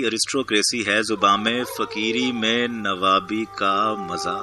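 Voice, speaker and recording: Over music in the background, a man speaks at a medium pitch. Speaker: poetry reciter. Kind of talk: poetry reading.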